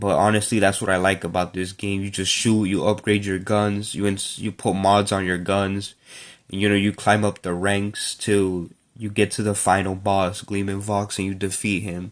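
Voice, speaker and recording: A man with a fairly low voice speaks at a moderate pace in a monotone, flat intonation. The recording is very clean with a silent background. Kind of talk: casual talk to camera. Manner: hesitant, some stuttering.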